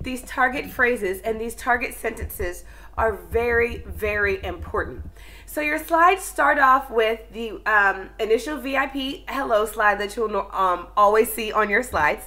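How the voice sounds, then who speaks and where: A woman talks at a fairly slow pace with a fairly high pitch and lively intonation. Her tone is bright and sharp, with vocal fry. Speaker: online ESL teacher. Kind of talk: tutorial.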